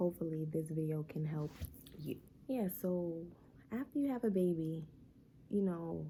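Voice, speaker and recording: There is a somewhat breathy quality here. The tone comes across dark and mellow. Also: woman. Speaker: vlogger, new mom. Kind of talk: casual vlog talk to camera. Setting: at home during baby's nap. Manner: quieter than usual, talking low; casual, filler-heavy.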